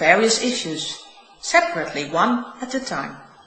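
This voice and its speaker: With a Dutch accent, a woman talks at a moderate pace in a fairly high pitch. Noticeable background noise and audible room echo surround her voice. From Netherlands. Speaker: spiritual teacher. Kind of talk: reading aloud.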